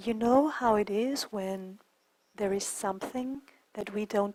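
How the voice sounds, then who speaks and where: A woman speaks at a medium pitch with a non-native accent. Her pitch varies in an ordinary way. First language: not English. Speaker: qigong teacher. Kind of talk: online class talk.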